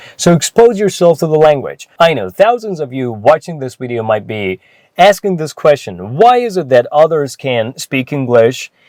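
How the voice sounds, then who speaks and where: Speaking at a moderate pace with a Persian accent, a man uses very wide pitch swings around a fairly high pitch, recorded with a dry, close sound and no echo. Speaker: English teacher. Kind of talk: tutorial.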